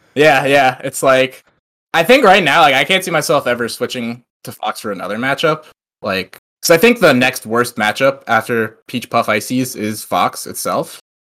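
With an American accent, an ordinary speaking voice moves at a moderate pace with lively intonation. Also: man, medium pitch for a man. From US Northeast, Long Island. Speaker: esports player. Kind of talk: casual chat. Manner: casual, many fillers.

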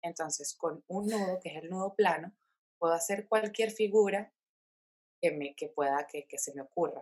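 A normal speaking voice with ordinary pitch variation and big swings in loudness, dry, close sound with no echo. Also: woman, medium pitch for a woman, moderate pace. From Venezuela, Caracas. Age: 20s. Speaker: craft entrepreneur. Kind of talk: interview.

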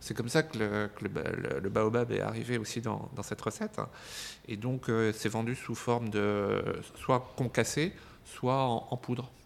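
A man's medium-pitched voice, with ordinary pitch variation, proceeds at a fairly slow pace. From France, Burgundy (Dijon). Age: 50s. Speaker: gin entrepreneur. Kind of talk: interview. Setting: his shop. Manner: halting, repeated words.

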